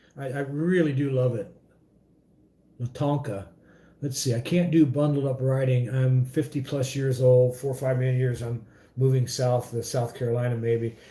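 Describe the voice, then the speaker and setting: A man with a medium pitch and a dark, mellow tone talks at a moderate pace, sounding somewhat breathy with fairly even intonation. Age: 50s. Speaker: motorcycle vlogger. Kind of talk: casual livestream chat. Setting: home livestream. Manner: halting, many fillers.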